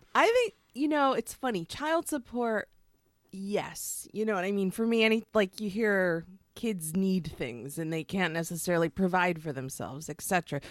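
An animated woman at medium pitch, with very wide pitch swings, in a dry, close sound with no echo and a very clean recording with a silent background. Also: moderate pace. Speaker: guest. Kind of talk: casual comedic chat. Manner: animated, joking.

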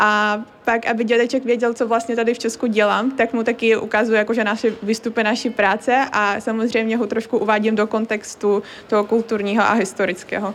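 Over noticeable background noise, a woman speaks fairly quickly in a fairly high pitch, with monotone, flat intonation and very even loudness. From Crimea, Ukraine. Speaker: university student. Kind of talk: interview.

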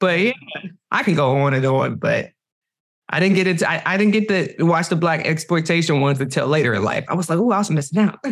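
A woman talks at a very fast pace with a fairly low pitch. Her intonation is lively and her loudness very even. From Cleveland, Ohio. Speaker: TV director. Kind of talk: interview. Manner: animated.

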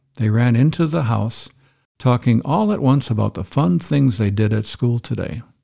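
A man's medium-pitched, somewhat breathy voice with a dark, mellow tone and lively intonation, at a moderate pace, on a very clean recording with a silent background. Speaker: podcast host. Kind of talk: solo podcast monologue.

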